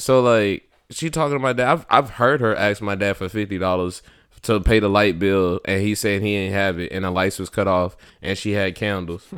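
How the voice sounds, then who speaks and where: In a very clean recording with a silent background, a man with a plain, everyday voice talks at a moderate pace, with fairly low pitch and ordinary pitch variation. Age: 30s. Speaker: podcast co-host. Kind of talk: casual chat.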